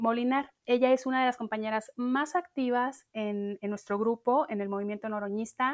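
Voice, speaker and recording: Moderate pace with hardly any pauses from a woman with a plain, everyday voice, fairly high pitch and ordinary pitch variation. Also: very clean recording, silent background. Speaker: podcast host. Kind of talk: casual chat.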